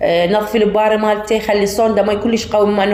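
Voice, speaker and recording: A woman with an Iraqi accent speaks at a fairly high pitch with fairly even intonation. Noticeable background noise and audible room echo fill the recording. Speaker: home cooking vlogger. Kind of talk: casual tutorial. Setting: rooftop at night.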